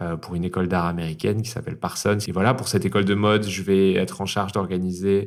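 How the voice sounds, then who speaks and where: A man talks at a very fast pace. His voice is very deep and low, with fairly even intonation. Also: hardly any pauses, very clean recording, silent background. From Toulouse area, France. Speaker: drag performer. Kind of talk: interview answer.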